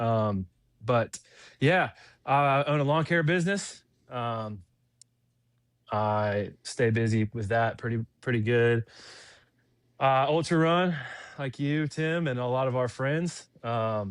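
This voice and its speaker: A man with a Southern US accent speaks at a very slow pace, his pitch medium with ordinary variation. Long, frequent pauses break up his speech against a quiet background. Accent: Southern US (Georgia). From US South, Fayetteville, Georgia. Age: 20s. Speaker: lawn care business owner and ultrarunner. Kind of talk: casual interview chat.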